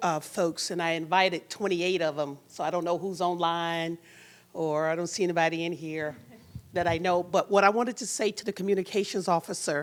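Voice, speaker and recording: In a very clean recording with a silent background, a woman talks at a fairly quick pace. She has an ordinary speaking voice, fairly low in pitch, with fairly even intonation. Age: 60s. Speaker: employment coach, audience member. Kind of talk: audience question at panel forum.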